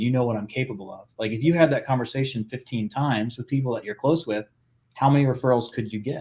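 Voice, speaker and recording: A man is talking here. His delivery comes fairly quickly. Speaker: podcast host and business acquisition coach. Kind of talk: casual coaching conversation. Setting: live video podcast. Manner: fast; animated.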